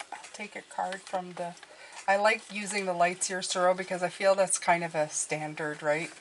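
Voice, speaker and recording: Noticeable background noise sits behind a woman's voice. Her intonation is monotone and flat while her loudness swings widely. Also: medium pitch for a woman, moderate pace. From Quebec. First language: French. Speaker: tarot YouTuber. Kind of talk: casual product review. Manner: halting, many restarts.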